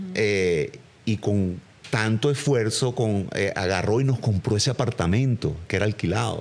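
The speaker is a man with a fairly low pitch. He talks at a fairly slow pace with ordinary pitch variation. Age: 50s. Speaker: actor. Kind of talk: casual chat. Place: home room. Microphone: studio mic.

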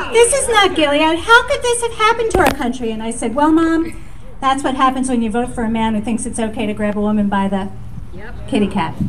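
Amid noticeable background noise, a woman talks at a fairly quick pace with very wide pitch swings. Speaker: event organizer and emcee. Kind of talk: rally speech. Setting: outdoors. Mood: earnest, rousing close. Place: street. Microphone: handheld.

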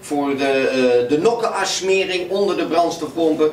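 In a room with audible echo and light background noise, a man talks fairly slowly at a high pitch with ordinary pitch variation. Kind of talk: tutorial.

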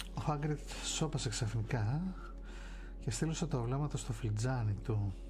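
Noticeable background noise fills the recording. A man talks at a fairly slow pace. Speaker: ASMR streamer reading a novel. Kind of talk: audiobook narration of a novel. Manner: soft-spoken, relaxing. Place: home room. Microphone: studio mic.

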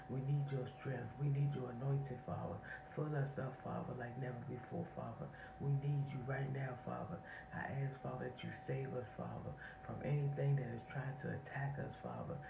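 Noticeable background noise sits behind a woman speaking at a moderate pace. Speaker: online prayer channel host. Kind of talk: fervent spontaneous intercessory prayer. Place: home room. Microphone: phone near.

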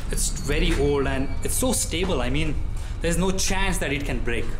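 Someone talks at a moderate pace while music plays in the background. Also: man. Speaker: exploration vlogger. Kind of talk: casual vlog chat. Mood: nervous, excited. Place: hall. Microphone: phone near.

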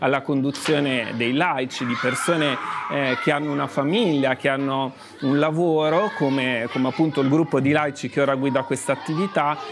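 Speaking at a fairly quick pace, a man keeps very even loudness and fairly even intonation amid noticeable background noise. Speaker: guest. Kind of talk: interview answer. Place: bar. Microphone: lapel.

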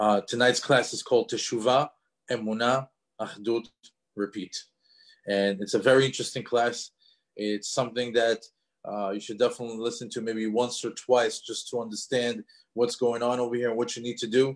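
A man's monotone, flat delivery at a fairly quick pace over a quiet background. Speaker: class host. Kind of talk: lecture introduction. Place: home room. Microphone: video call.

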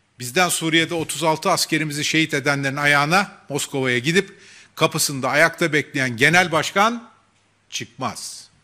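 With a bright, sharp tone, a man speaks at a fairly slow pace over a quiet background. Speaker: party spokesman. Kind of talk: political press statement. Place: hall. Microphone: podium.

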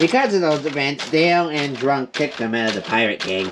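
A cartoonish character voice comes through over clear background noise. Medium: puppet show. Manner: excitable.

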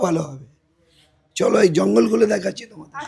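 A man speaks with lively intonation. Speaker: local resident. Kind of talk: on-location interview.

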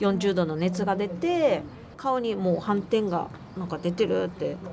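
Noticeable background noise sits behind a woman's voice. She speaks at a moderate pace with lively intonation. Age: 40s. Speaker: amputee marathon runner; interviewee. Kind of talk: interview testimony. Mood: earnest, emotional recollection. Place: open country.

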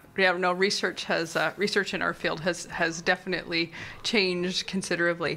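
A woman with a Canadian accent speaks at a moderate pace in a fairly low pitch. Her tone is bright and sharp, her intonation flat and monotone. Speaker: museum interviewer. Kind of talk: interview. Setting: studio.

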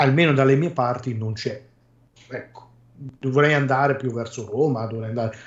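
Pitched in the medium range, a man's voice comes across as somewhat breathy. He speaks at a fairly slow pace. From Ancona, Marche. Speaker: podcast guest. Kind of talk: casual chat.

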